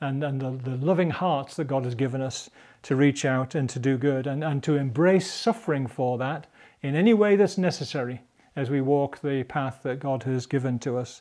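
Against a quiet background, a man talks at a moderate pace in a dark, mellow tone. His pitch varies in an ordinary way. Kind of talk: devotional teaching talk. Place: studio. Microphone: lapel.

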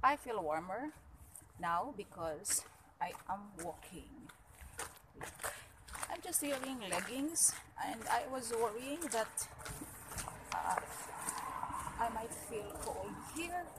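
Noticeable background noise runs under a woman's voice. She speaks very slowly, with long, frequent pauses. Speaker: vlogger. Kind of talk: casual vlog chat. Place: street. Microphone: phone near.

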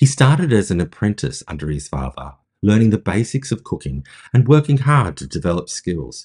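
A man speaks at a fairly quick pace with very wide pitch swings against a quiet background. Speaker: podcast host. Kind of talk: narrated storytelling. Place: home room. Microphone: phone near.

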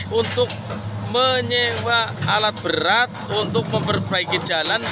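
A man talks over loud background noise, with a dry sound that has no echo. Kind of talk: interview answer. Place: open country. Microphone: phone near.

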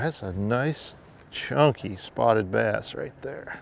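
A man's voice is heard as a dry sound with no echo. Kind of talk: fishing show commentary. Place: boat.

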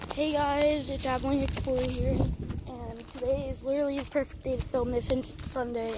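A woman's voice, dry and echo-free, over loud background noise. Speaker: urban explorer vlogger. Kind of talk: casual vlog chat. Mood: curious, slightly nervous. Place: street. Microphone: phone near.

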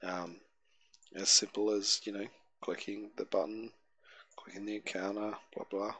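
This man talks at a fairly slow pace in an Australian accent. His pitch is fairly low. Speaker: tabletop game master and software tutorial youtuber. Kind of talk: software tutorial. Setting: screen recording at home. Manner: halting, many filler words.

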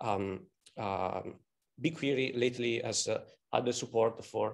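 The voice belongs to a man. Ordinary pitch variation runs through his speech. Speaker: conference presenter. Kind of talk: lecture. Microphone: webcam.

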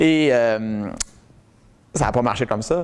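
Ordinary pitch variation marks a man speaking in a Quebec accent. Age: 30s. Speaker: testimonial speaker. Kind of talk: public talk. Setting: stage with audience. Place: meeting room. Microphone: lapel.

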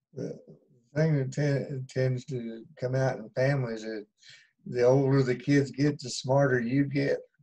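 Over a quiet background, a man talks at a fairly slow pace in a monotone, flat intonation, his dark, mellow tone somewhat breathy and his loudness swinging widely. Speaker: bible class participant. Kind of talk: casual discussion. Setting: video call. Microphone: video call.

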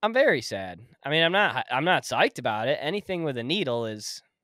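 A man's bright, sharp voice with very wide pitch swings, dry with no echo, over a quiet background. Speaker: podcast host. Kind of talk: casual chat. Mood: reluctant, mildly anxious about procedure. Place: home room. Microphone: studio mic.

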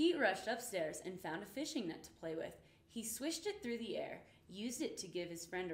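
The voice reads in an unforced way. Nothing about the reading sounds pushed.

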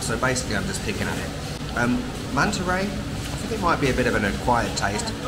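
A man speaks over loud background noise. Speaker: food vlogger. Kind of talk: casual vlog chat. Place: cafe. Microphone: phone near.

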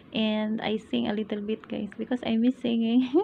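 Against light background noise, a somewhat breathy woman speaks at a fairly slow pace with fairly even intonation. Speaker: vlogger. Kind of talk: casual vlog chat. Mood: cheerful, chatty. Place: home room. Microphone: phone near.

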